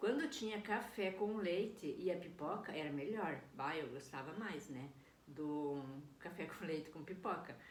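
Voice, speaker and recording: Audible room echo surrounds a woman with a fairly low pitch. She talks fairly slowly, her intonation lively. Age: 60s. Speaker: vlogger. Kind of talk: personal video diary. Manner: casual, hesitant with fillers.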